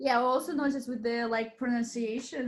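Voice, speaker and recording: Fairly high in pitch, a woman with a slight Russian accent speaks at a fairly quick pace with fairly even intonation. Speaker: podcast host, English teacher. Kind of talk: casual chat.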